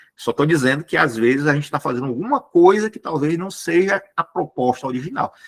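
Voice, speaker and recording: A man talks with lively intonation and hardly any pauses. The sound is dry and close, with no echo. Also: fairly quick pace. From Brazil, Ceará (Fortaleza). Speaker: spiritist lecturer. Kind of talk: lecture. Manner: fast.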